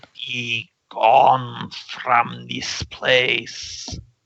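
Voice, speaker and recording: A raspy, put-on character voice at a low-to-middle pitch. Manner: commanding, stern.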